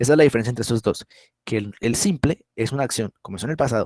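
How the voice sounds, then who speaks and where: Speaking at a very fast pace with lively intonation, a man at medium pitch comes through with a dry, close sound and no echo. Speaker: English teacher. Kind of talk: online class lecture. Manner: halting.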